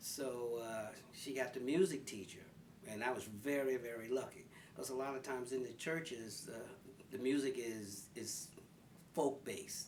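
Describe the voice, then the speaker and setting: A medium-pitched man with a Philadelphia accent speaks at a moderate pace, and room echo is audible. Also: ordinary pitch variation. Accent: Philadelphia American English. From North Philadelphia, US. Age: 70s. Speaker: senior interviewee. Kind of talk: life story interview.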